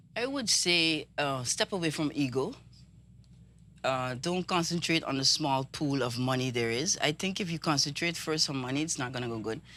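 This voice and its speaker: Over a very clean recording with a silent background, a woman speaks at a moderate pace with a very deep, low pitch, a bright, sharp tone and ordinary pitch variation. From Suriname. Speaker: poet and spoken word artist. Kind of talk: interview answer.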